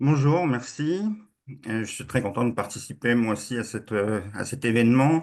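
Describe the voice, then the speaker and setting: Lively intonation from a man with a normal speaking voice at medium pitch, at a moderate pace against a quiet background. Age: 60s. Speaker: webinar participant. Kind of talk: question in online debate.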